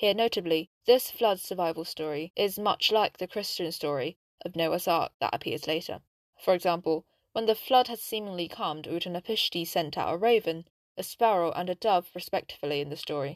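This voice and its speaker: A woman with an ordinary speaking voice talks at a fairly quick pace. Her pitch varies in an ordinary way, and the sound is dry and close with no echo. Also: fairly low pitch for a woman. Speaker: podcast narrator. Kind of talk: history documentary narration, scripted storytelling. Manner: measured, solemn, even-paced.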